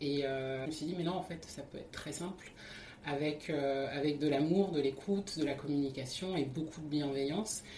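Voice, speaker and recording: Over noticeable background noise and audible room echo, a woman with a very deep, low pitch talks at a moderate pace with fairly even intonation. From France, Paris region (Seine). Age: 30s. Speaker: interviewee, wife in interfaith couple. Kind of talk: testimony. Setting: at home. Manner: hesitant, repeating words.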